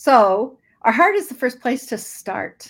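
A woman with an American accent speaks at a high pitch. Her pitch swings very widely. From US Northwest (Idaho). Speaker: children's ministry missionary. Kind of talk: online training webinar.

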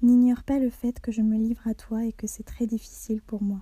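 At a moderate pace, a woman's fairly high voice with a dark, mellow tone stays monotone and flat, recorded dry and close with no echo. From Algeria and France. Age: 20s. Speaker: student sharing a personal testimony. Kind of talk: reading a personal letter aloud.

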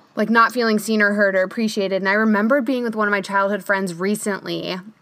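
Noticeable background noise around a woman's fairly high-pitched voice. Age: 30s. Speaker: podcast host and photographer. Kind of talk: casual interview podcast.

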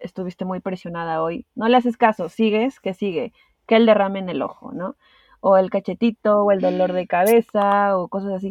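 Using an unremarkable speaking voice, a woman's medium-pitched speech proceeds at a moderate pace. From Peru. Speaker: podcast guest sharing anxiety experience. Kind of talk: interview, personal testimony.

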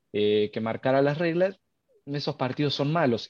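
A man with a strong Argentine accent speaks at a fairly quick pace. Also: dry, close sound with no echo. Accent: Argentine, stronger than usual. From Argentina, Córdoba. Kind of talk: live podcast discussion. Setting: live stream with call.

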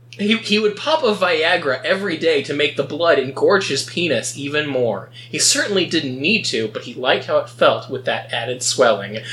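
Noticeable background noise sits behind a man with a fairly high voice and lively intonation. He talks at a moderate pace with hardly any pauses. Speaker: podcast host. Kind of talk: casual comedic chat reading and recapping stories.

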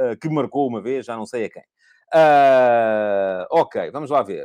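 A man with a European Portuguese accent is heard in a dry, close sound with no echo. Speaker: football commentator, podcast host. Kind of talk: solo live-stream football analysis. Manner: hesitant, many filler sounds.

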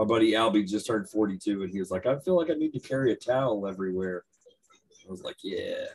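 A man with a Texan accent talks at a very fast pace. His pitch is medium and his intonation lively. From Texas. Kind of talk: casual chat, podcast interview.

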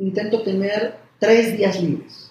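A man's high-pitched voice with a dark, mellow tone moves at a very slow pace. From Mexico (Puebla). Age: 40s. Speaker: cardiologist. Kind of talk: interview conversation. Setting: doctor's office.

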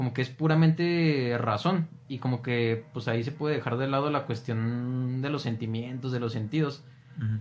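The voice is an unremarkable speaking voice. It moves at a moderate pace with ordinary pitch variation. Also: man. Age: 20s. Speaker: seminarian. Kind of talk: casual chat.

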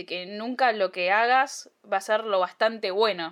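A woman's voice with fairly even intonation. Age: 20s. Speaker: podcast host. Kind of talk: solo podcast monologue. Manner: casual with frequent fillers.

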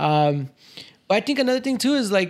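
In an American accent, a man speaks at a fairly quick pace with lively intonation. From Chicago area, US (Cicero). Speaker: entrepreneur and video content creator. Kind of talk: casual interview chat.

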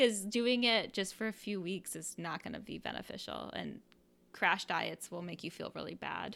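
With an American accent, a woman of medium pitch speaks at a moderate pace in a bright, sharp tone with vocal fry, ordinary pitch variation and big swings in loudness, on a very clean recording with a silent background. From US Midwest, Iowa. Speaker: podcast co-host. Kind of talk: casual chat.

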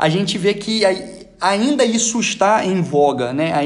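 A man with a Rio de Janeiro accent is heard with audible room echo. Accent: Rio de Janeiro Brazilian Portuguese. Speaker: podcast panelist, soldier. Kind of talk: casual group discussion.

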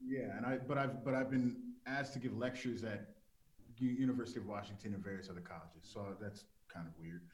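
A man speaks with an American accent at a very fast pace. His pitch varies in an ordinary way, and audible room echo surrounds him. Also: medium pitch for a man. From South Central Los Angeles. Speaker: TV executive producer. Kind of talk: interview.

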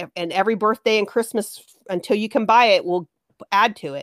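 In a plain, everyday voice, a woman with a fairly high pitch speaks at a moderate pace with ordinary pitch variation, in a very clean, dry, close recording with no echo and a silent background. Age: 50s. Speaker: guest sharing life story. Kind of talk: casual chat.

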